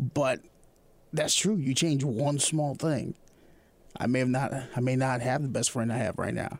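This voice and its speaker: The speaker is a man with a medium pitch. His pace is fairly quick, and his pitch varies an ordinary amount. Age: 30s. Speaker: podcast host. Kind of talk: casual interview. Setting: studio. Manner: energetic.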